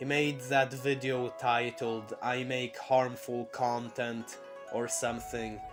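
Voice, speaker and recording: A man speaks at a very slow pace in a medium pitch, with music playing in the background. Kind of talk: unscripted casual talk to camera. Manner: stuttering.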